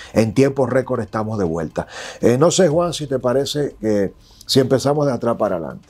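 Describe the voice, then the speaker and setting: The man's intonation is lively, and his pace is fairly quick. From Dominican Republic. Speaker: political commentator and digital journalist; political commentator, digital journalist. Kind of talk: interview. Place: studio. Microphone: lapel.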